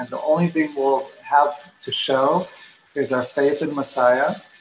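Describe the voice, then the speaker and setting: Over noticeable background noise, a man talks at a fairly slow pace. His pitch is fairly high and his intonation fairly even. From Mexico, Guadalajara. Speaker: missionary. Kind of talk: casual chat.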